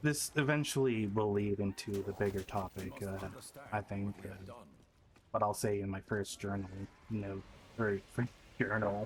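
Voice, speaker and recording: A man's somewhat breathy voice at a moderate pace, fairly even in intonation, with long, frequent pauses. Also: fairly low pitch for a man. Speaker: streamer and video creator. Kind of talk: personal video journal monologue. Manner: halting, stuttering.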